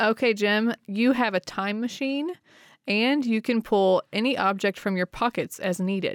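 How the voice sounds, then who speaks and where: A woman with a normal speaking voice talks at a fairly slow pace in a fairly high pitch with ordinary pitch variation, the sound dry and close with no echo, the recording very clean against a silent background. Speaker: podcast co-host. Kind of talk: casual interview chat.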